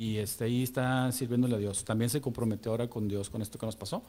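Talking very fast, a man with a medium-pitched, somewhat breathy voice keeps a dark, mellow tone and fairly even intonation. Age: 40s. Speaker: church member sharing testimony. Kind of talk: testimony. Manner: halting.

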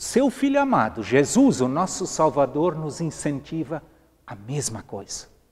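A somewhat breathy man talks at a fairly slow pace, his pitch swinging very widely and his loudness shifting a lot. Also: fairly high pitch for a man. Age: 60s. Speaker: pastor. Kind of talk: sermon. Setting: empty church.

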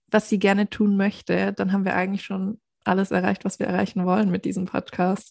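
A woman's medium-pitched, monotone voice with flat intonation, dry and close with no echo, in a very clean recording with a silent background. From southern Germany, near Stuttgart (Swabia). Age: 20s. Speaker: podcast co-host, virtual assistant. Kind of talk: casual chat.

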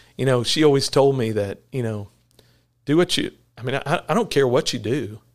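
The recording is very clean, with a silent background. A man talks at a moderate pace and medium pitch, with ordinary pitch variation. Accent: Texan. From Texas (Corsicana). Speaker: veterinarian and clinic owner. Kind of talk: casual interview. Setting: in person at the clinic. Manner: halting, many fillers.

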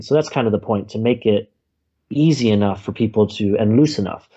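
Fairly low in pitch with ordinary variation, a man with an American accent talks at a fairly quick pace in an unremarkable speaking voice. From United States. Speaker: planner creator, stoicism practitioner. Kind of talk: interview conversation.

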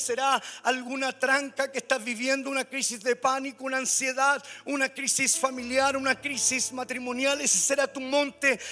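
A man in a raised, projected voice speaks at a moderate pace in a flat monotone, his pitch extremely high and his tone bright and sharp. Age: 50s. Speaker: pastor. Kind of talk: sermon. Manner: halting, repeats words.

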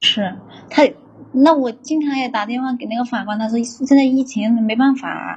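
A woman's high voice, fairly even intonation, a moderate pace, noticeable background noise. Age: 30s. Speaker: factory worker calling in for advice. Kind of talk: advice call-in.

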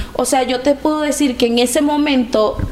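Amid noticeable background noise and audible room echo, a woman speaks fairly slowly with fairly even intonation. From Venezuela. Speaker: migrant. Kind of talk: testimony.

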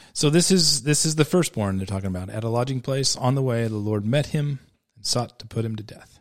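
Using a normal speaking voice, a man talks at a fairly quick pace and medium pitch, with lively intonation and big swings in loudness. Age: 40s. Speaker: surf shop owner. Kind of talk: casual Bible discussion. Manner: frequent repetitions and restarts.

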